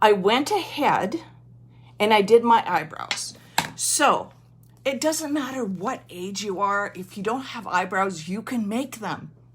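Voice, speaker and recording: A woman's fairly high voice at a fairly slow pace, with lively intonation, big swings in loudness and noticeable background noise. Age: 60s. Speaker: makeup consultant. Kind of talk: makeup tutorial. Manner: casual, chatty.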